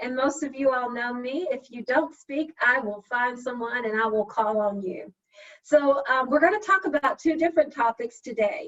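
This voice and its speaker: A woman with a Southern US accent speaks in a high voice with ordinary pitch variation. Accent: Southern drawl. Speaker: session facilitator, HR professional. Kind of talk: virtual meeting facilitation. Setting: video call.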